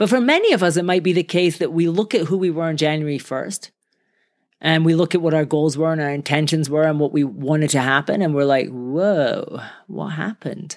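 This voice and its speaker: A warm, animated tone at a fairly quick pace, in a very clean recording with a silent background. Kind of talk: pep talk. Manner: fired-up, emphatic, driving rhythm with repeated 'I'm gonna' bursts; warm, animated, rallying.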